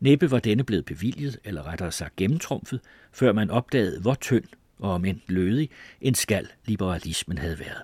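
The speaker has a normal speaking voice with lively intonation at a moderate pace. The sound is dry and close, with no echo. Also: man, fairly low pitch for a man. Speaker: audiobook narrator. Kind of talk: literary audiobook reading of a memoir, formal and measured.

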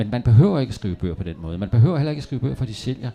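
A man talks in a dark, mellow tone. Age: 60s. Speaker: novelist. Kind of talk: public author interview. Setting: café stage with live audience.

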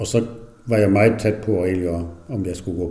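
In a room with audible echo, a man talks in a very deep, low pitch with a dark, mellow tone, somewhat breathy and with fairly even intonation. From Southern Jutland, near Tønder, German minority. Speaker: retired dairy farmer. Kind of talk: interview. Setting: at home. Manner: halting.

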